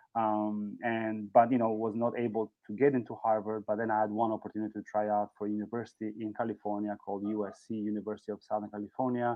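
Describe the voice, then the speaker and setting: A man speaks in an Albanian accent at a fairly quick pace with monotone, flat intonation. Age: 40s. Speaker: former volleyball player. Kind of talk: speech.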